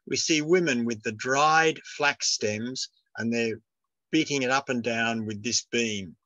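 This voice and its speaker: A man with an Australian accent talks at a moderate pace and a medium pitch, with a bright, sharp tone and ordinary pitch variation. The sound is dry and close, with no echo. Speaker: retired professor giving a talk. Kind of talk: lecture. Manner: halting.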